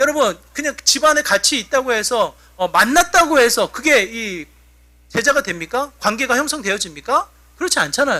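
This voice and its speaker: This man's voice is extremely high and swings very widely in pitch. He projects it loudly at a moderate pace, with a bright, sharp tone. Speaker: pastor. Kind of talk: sermon. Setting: church.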